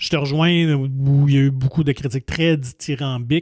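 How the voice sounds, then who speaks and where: In a Quebec accent, a man speaks at a moderate pace. His pitch is fairly high, and his intonation fairly even. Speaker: film podcast host. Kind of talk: casual film review chat.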